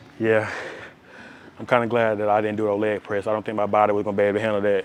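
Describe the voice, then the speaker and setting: Very fast, flat, monotone delivery from a man with a fairly low pitch, over noticeable background noise. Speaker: fitness vlogger. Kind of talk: gym vlog talk. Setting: gym. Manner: loud; casual.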